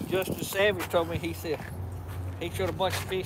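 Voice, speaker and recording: A man with a Georgia accent speaks at a fairly quick pace over noticeable background noise. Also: dry sound with no echo. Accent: Georgia Southern. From US South. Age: 70s. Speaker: boat owner; live streamer. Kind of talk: casual chat. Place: street. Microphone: phone near.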